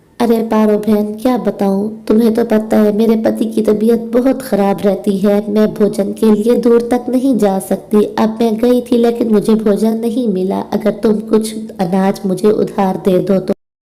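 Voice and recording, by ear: A female-sounding cartoonish character voice, pitched fairly high for a woman. It moves along at a moderate pace.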